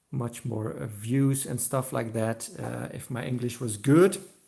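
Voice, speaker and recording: The somewhat breathy voice moves at a fairly slow pace. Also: man. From Belgium. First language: not English. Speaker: diecast collector youtuber. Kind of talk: live stream chat. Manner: halting, many fillers.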